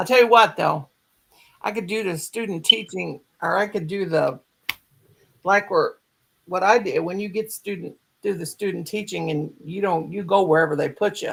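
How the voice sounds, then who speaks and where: A woman of medium pitch talks at a moderate pace with ordinary pitch variation and long, frequent pauses. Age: 60s. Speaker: crochet livestream host, former school teacher. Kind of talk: casual chat. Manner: animated.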